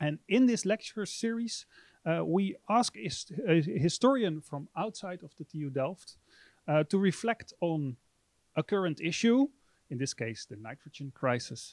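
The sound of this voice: A man's fairly high-pitched voice, slightly mellow in tone, at a fairly slow pace with lively intonation, in a dry, close sound with no echo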